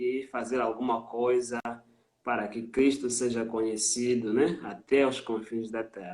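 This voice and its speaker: A man with a Mozambican accent talks at a fairly slow pace and medium pitch in monotone, flat intonation. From Mozambique. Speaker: missionary. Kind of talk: interview testimony on a live stream. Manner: hesitant with frequent fillers.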